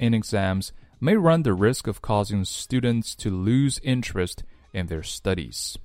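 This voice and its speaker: Delivered in a playful tone with lively intonation, this voice with a Chinese accent comes through on a very clean recording against a silent background. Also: man. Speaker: English teacher. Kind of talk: tutorial.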